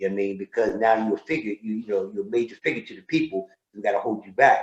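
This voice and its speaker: Pitched at a medium level for a man, his is an ordinary speaking voice with ordinary pitch variation. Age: 60s. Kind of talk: casual interview chat.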